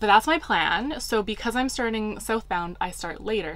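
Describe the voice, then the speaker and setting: A moderately paced woman's voice. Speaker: hiking vlogger. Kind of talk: casual vlog chat. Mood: excited, upbeat. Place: home room.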